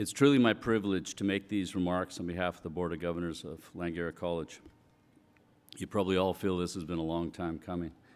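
A man's very deep, low voice at a very fast pace, with fairly even intonation. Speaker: college board member. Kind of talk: formal congratulatory speech. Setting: stage with audience. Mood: formal, warm, congratulatory. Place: hall. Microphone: podium.

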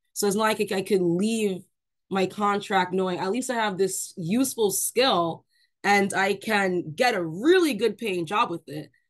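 With an American accent, a woman talks at a moderate pace and with ordinary pitch variation against a quiet background. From New York. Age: 20s. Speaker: Army veteran. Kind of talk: panel discussion. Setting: video call. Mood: frustrated, recounting army experience. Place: home room. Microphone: video call.

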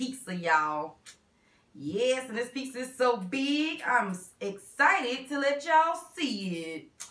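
Audible room echo follows a woman's raised, projected voice, bright and sharp in tone, at a very slow pace. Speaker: mukbang host. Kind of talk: casual vlog chat. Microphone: camera far.

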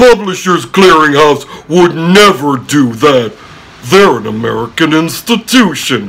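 A man uses a put-on character voice at a fairly high pitch. He speaks at a fairly slow pace. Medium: comedy sketch. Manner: coaxing, upbeat.

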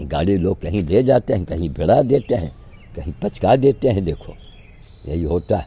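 A man with a very deep, low voice and a dark, mellow tone speaks at a fairly slow pace, somewhat breathy, with very wide pitch swings. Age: 80s+. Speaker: sadhu activist. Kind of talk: monologue vlog. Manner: animated. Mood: frustrated, complaining. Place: garden. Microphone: phone near.

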